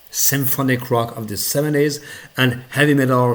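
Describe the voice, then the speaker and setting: With a non-native accent, a man speaks at a fairly slow pace. His pitch varies in an ordinary way. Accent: noticeable non-native. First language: not English. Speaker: music reviewer. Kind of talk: casual video review. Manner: halting, many fillers.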